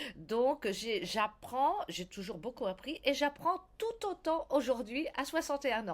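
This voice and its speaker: Here a woman speaks with a high pitch and very wide pitch swings. Her pace is very slow. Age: 60s. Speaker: blogger. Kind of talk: interview. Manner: halting.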